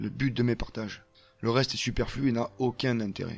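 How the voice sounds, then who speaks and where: He is a man. He speaks in a southern French accent. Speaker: permaculture gardener and video creator. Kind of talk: personal monologue. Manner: hesitant, frequent fillers.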